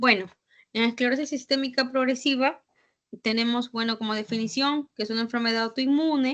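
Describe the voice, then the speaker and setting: A woman's high-pitched voice at a fairly quick pace, with fairly even intonation. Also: quiet background. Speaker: physician lecturer. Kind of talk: lecture.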